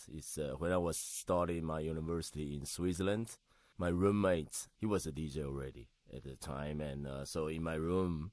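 A man with a Taiwanese accent, a very deep, low pitch, a moderate pace and a quiet background. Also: ordinary pitch variation. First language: Mandarin Chinese. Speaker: DJ and home cook. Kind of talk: casual interview chat. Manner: halting.

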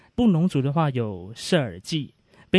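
In an ordinary speaking voice, a man talks at a moderate pace with lively intonation, the sound dry and close with no echo against a quiet background. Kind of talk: explanatory talk.

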